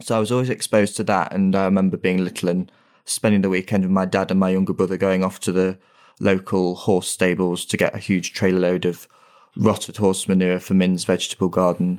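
A man with an East Midlands accent, a very deep, low pitch, flat monotone intonation and a fairly quick pace, on a very clean recording with a silent background. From Nottinghamshire, England (Hucknall). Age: 20s. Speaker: gardener and podcast co-host. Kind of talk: casual chat.

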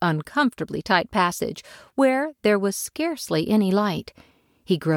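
Reading done in an unforced voice

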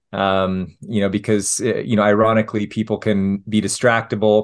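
In a Utah accent, a man speaks with monotone, flat intonation at a fairly low pitch. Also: quiet background. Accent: American, Utah. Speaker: family physician. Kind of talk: interview. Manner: hesitant, many fillers.

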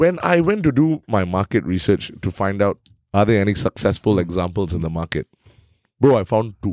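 A man talks in a normal speaking voice at a fairly low pitch and moderate pace, with lively intonation. The sound is dry, close sound with no echo, a very clean recording with a silent background. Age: 30s. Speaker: event emcee. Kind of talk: casual chat.

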